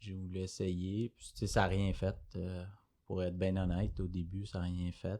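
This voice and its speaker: A man with a Quebec accent, a very deep, low voice and a dark, mellow tone, fairly slow and monotone, with big swings in loudness against a quiet background. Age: 20s. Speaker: entrepreneur, recovered addict. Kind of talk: testimony. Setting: studio. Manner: hesitant, many fillers.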